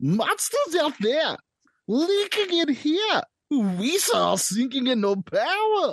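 In a Southern accent, a put-on character voice speaks at a very slow pace with high pitch and very wide pitch swings. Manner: goofy, comedic.

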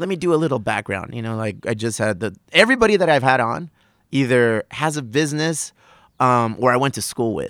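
A man talks at a fairly quick pace in a medium pitch. The recording is very clean, with a silent background. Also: lively intonation. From US, South Bay San Diego (Chula Vista). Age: 40s. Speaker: brewery owner and podcaster. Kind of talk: casual chat. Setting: outdoors on a back patio.

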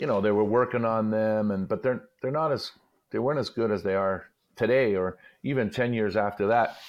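A man with a Montreal accent talks at a moderate pace in a medium pitch. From Montreal, Quebec. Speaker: retired hockey player and commentator. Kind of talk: casual chat.

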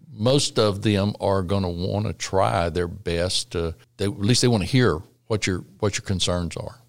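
A man's fairly low voice in a Texan accent, at a fairly slow pace with ordinary pitch variation, on a very clean recording with a silent background. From Texas Gulf Coast, La Porte. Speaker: state legislator. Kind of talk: interview. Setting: church building.

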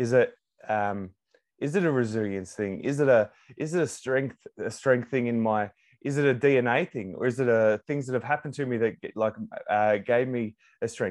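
Over a quiet background, a man with an Australian accent speaks at a medium pitch with ordinary pitch variation. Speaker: psychology student and former tradesman. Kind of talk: casual interview. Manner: halting, many repetitions.

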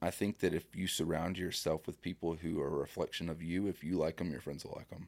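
A man speaks very fast with hardly any pauses. His very deep, low voice is monotone and flat. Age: 30s. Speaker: dating content creator. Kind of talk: casual chat. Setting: studio.

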